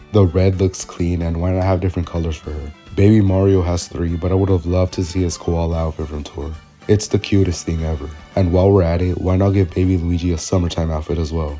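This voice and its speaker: The delivery is very fast and enthusiastic. Music plays in the background. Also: man, very deep, low pitch for a man. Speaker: gaming commentary YouTuber. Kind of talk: video essay voice-over. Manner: casual, enthusiastic.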